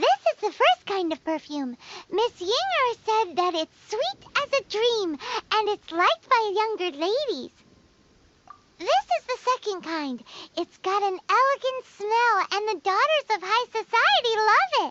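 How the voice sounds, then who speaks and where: Someone performs a squeaky put-on character voice at an extremely high pitch. The pace is fairly slow. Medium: video game. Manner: energetic, chatty.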